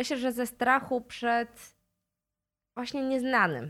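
A woman's high-pitched voice at a very slow pace, with ordinary pitch variation, on a very clean recording with a silent background. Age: 40s. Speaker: human rights lawyer. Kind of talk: interview.

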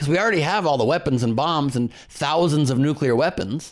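Moderate pace, with a Californian accent. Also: man. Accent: General American, Californian. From Los Angeles. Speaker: comedian and voice actor. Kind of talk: casual interview chat.

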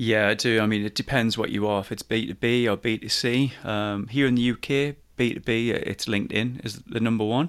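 A man with a Geordie accent talks at a fairly quick pace with fairly even intonation and hardly any pauses. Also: medium pitch for a man. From Newcastle, north-east England. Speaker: business coach and podcaster. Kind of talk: casual interview.

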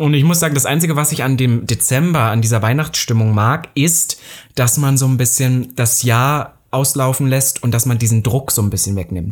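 Somewhat breathy, a man talks at a moderate pace and medium pitch, with ordinary pitch variation and very even loudness. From eastern Germany, Saxony-Anhalt. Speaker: podcast co-host. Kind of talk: casual chat.

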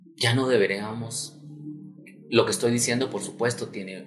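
A plain, everyday voice talks at a moderate pace. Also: man. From Guatemala, raised in Guatemala City. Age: 30s. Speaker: human rights activist. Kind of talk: interview conversation.

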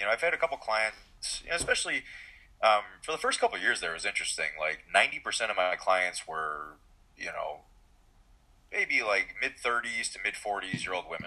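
At a moderate pace, a man talks with a Midwestern American accent. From Michigan, US. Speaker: physician and powerlifting coach. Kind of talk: casual interview.

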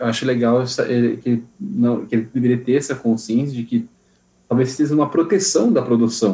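The voice is somewhat breathy with a dark, mellow tone. Long, frequent pauses break up the speech. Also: man, medium pitch for a man, ordinary pitch variation, moderate pace. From Brazilian countryside (interior). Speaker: podcast guest. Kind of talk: casual chat.

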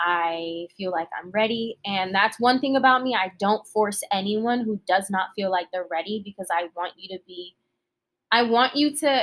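A woman with an American accent uses an ordinary speaking voice, at a medium pitch and a moderate pace, with ordinary pitch variation. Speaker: singer-songwriter and nonprofit founder. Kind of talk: casual chat.

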